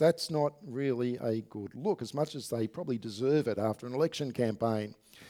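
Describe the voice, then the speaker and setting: The man has an Australian accent. He talks at a moderate pace. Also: very clean recording, silent background. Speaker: pastor. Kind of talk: sermon. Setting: church.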